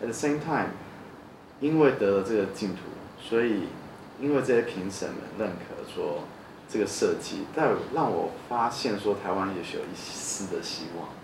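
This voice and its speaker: This man speaks at a medium pitch with lively intonation, leaving long, frequent pauses. Noticeable background noise and audible room echo surround his voice. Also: moderate pace. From New Zealand. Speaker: architect. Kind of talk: interview. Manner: halting.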